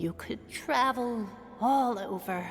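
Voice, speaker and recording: Over clear background noise, a woman does a put-on character voice, warm in tone and fairly high in pitch. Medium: video game. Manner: warm, doting.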